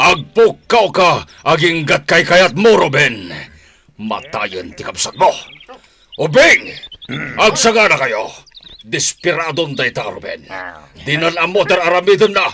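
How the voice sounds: Using a put-on character voice, a man speaks at a slow pace with long, frequent pauses and big pitch swings, in a bright, sharp tone with a slightly husky edge. Faint music plays in the background.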